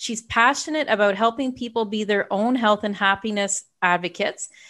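A woman with a normal speaking voice talks at a moderate pace in a fairly high pitch. Her intonation is fairly even, and the background is quiet. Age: 50s. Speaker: podcast host and health coach. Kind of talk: interview.

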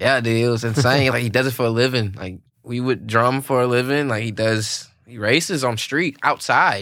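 A man with a Louisiana accent, medium pitch and a bright, sharp tone, at a moderate pace with ordinary pitch variation and hardly any pauses, in a very clean recording with a silent background. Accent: US Southern (Louisiana). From Louisiana, Alexandria. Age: 20s. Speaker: drummer. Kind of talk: casual chat. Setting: studio.

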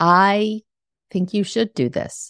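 Very clean recording, silent background. Words come at a very slow pace. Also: woman, dry, close sound with no echo. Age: 60s. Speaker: podcast host and life coach. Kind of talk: solo podcast monologue.

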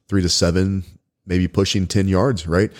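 With a Texan accent, a man talks at a moderate pace in a very deep, low pitch and a dark, mellow tone. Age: 40s. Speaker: podcast host and firearms instructor. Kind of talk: casual interview.

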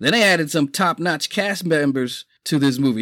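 Recorded very cleanly against a silent background with a dry, close sound and no echo, a man with a New York accent talks at a moderate pace in a fairly high pitch with ordinary pitch variation. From New York City, the Bronx. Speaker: podcast host. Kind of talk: casual monologue. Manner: animated.

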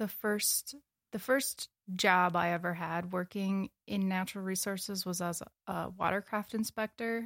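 A woman with a plain, everyday voice and an American accent speaks at a fairly slow pace with fairly even intonation. The recording is very clean, with a silent background. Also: dry, close sound with no echo. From Wisconsin, US Upper Midwest. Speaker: graduate student in ecology. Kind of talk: casual interview.

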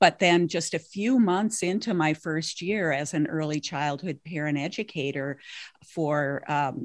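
A woman with an American accent talks at a fairly slow pace in a very deep, low pitch. The recording is very clean, with a silent background. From Minnesota. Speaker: grief recovery specialist, parent educator. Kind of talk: interview.

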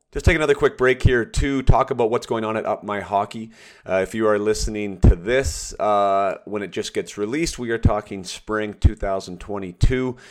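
A plain, everyday voice from a man, fairly low in pitch with ordinary variation, at a moderate pace with hardly any pauses, on a very clean recording with a silent background. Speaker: podcast host and former hockey player. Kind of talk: interview podcast.

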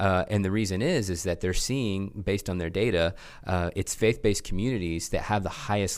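Against a silent background in a very clean recording, a man with a slight Oklahoma accent talks at a fairly quick pace with a very deep, low pitch. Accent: slight Oklahoma twang. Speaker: church tech school leader. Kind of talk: casual interview conversation.

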